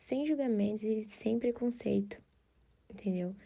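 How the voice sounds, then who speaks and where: This woman's dark, mellow tone unfolds fairly slowly. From São Paulo state, Brazil. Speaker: podcast host. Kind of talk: show introduction.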